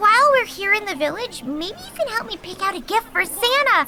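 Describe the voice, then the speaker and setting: A woman does a put-on character voice at an extremely high pitch, talking at a fairly quick pace over clear background noise. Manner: upbeat, bubbly.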